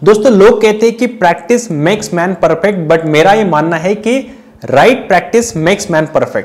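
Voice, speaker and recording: High-pitched male voice, fairly slow, with ordinary pitch variation. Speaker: speech coach. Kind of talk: tutorial. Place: home room. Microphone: lapel.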